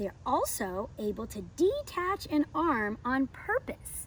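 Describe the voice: A woman's high-pitched voice at a slow pace, with very wide pitch swings.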